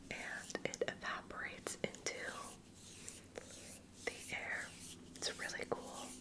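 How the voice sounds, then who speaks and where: Whispering at a very slow pace with long, frequent pauses, the voice comes through noticeable background noise. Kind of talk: ASMR personal attention roleplay. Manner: soft-spoken, slow.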